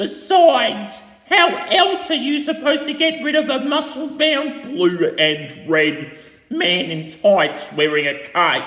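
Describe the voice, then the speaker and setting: A cartoonish, high-pitched character voice at a fairly slow pace with slight echo. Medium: puppet. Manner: snappish, threatening.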